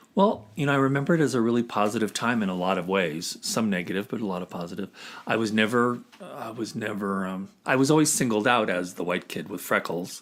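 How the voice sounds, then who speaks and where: At a very fast pace and with ordinary pitch variation, the speaker has an American accent in a very clean recording with a silent background. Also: man, fairly low pitch for a man. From US Southwest (Arizona and Grants, New Mexico). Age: 60s. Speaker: podcast guest. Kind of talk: casual interview.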